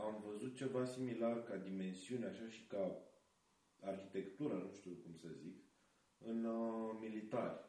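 A fairly low-pitched male voice with ordinary pitch variation, at a fairly slow pace amid audible room echo. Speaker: film student, festival organizer. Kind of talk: casual chat.

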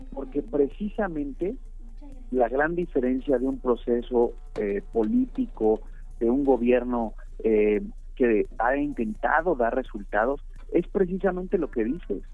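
Using very wide pitch swings, a man speaks at a fairly slow pace with a fairly high pitch. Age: 30s. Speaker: politician. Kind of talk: radio interview. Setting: phone call.

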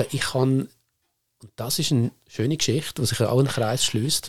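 A man speaks in a Lucerne accent at a medium pitch. His pace is fairly quick and his intonation fairly even. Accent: Swiss German, Lucerne dialect. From Switzerland, Lucerne area (Seetal). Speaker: media manager, former journalist. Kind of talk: casual chat.

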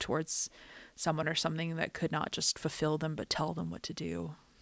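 A woman's very deep, low voice with vocal fry, very fast, on a very clean recording with a silent background. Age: 30s. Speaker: artist and podcaster. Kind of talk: scripted personal essay narration.

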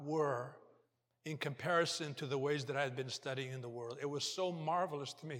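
Audible room echo surrounds a man speaking at a fairly high pitch and moderate pace with ordinary pitch variation. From Portugal. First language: Portuguese. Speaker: lay preacher and banker. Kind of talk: sermon. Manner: halting.

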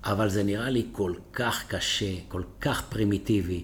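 The speaker is a man with a somewhat breathy voice. He talks at a fairly slow pace. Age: 60s. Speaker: dentist and company founder. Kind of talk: interview.

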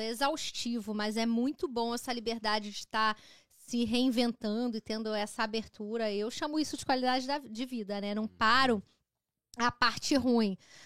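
Fairly slow speech from a woman, pitched fairly high. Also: very clean recording, silent background. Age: 30s. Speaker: digital marketing expert and designer. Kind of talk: casual chat. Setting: live stream.

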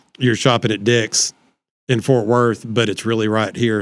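A man with a Texan accent speaks at a moderate pace and a fairly low pitch on a very clean recording with a silent background. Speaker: city councilman. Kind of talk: casual chat.

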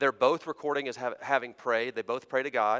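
This is a man with an American accent and a plain, everyday voice. His pitch is medium with ordinary variation, and the sound is dry and close with no echo. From US border region near the South. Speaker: preacher. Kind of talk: sermon. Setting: church.

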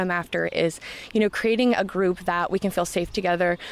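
A woman at a very fast pace with fairly even intonation. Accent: Midwestern American. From Iowa, Knoxville. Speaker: trail club organizer. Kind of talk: interview.

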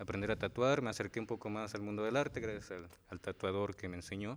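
An ordinary speaking voice from a man, fairly low in pitch, with fairly even intonation and a fairly quick pace. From Morelos, Mexico. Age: 20s. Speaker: muralist and tattoo artist. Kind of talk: interview.

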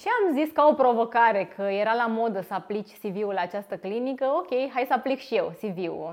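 A woman talks at a medium tempo in a fairly high register, her pitch varying in an ordinary way, with noticeable background noise throughout. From Romania, Târgu Jiu. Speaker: physiotherapist and clinic owner. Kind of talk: interview.

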